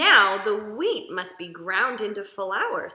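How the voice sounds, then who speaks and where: The speaker uses a put-on character voice and moves at a fairly slow pace. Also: woman, medium pitch for a woman. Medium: read story.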